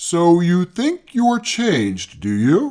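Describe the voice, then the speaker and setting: A man puts on a character voice, high-pitched with very wide pitch swings, at a very slow pace. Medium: read story. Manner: terse, short remarks; contemptuous, contradicting.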